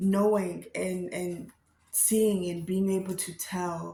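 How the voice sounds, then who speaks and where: A somewhat breathy woman speaks at a very slow pace with a medium pitch and monotone, flat intonation, with audible room echo around her. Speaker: vlogger and storyteller. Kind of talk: casual vlog talk. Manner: halting, stumbling over words.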